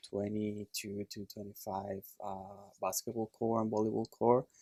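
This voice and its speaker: In a Puerto Rican accent, a man speaks at a moderate pace, the sound dry and close with no echo. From Puerto Rico. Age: 30s. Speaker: chiropractor. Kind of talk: casual chat. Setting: studio.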